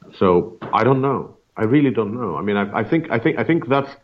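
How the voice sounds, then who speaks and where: Speaking fairly quickly with lively intonation, a man with a fairly high voice shows some vocal fry. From Russia. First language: Russian. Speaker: media scholar, senior fellow. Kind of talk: interview.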